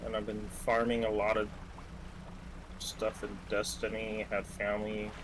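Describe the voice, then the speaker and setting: A man speaks quietly at a fairly low pitch and fairly slow pace, with long, frequent pauses. His intonation is monotone and flat. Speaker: gamer friend. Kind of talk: casual chat.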